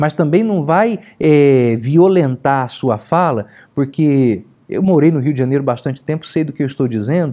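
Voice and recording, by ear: A man speaks at a moderate pace in a dark, mellow tone. His pitch sits fairly high, and his intonation is lively.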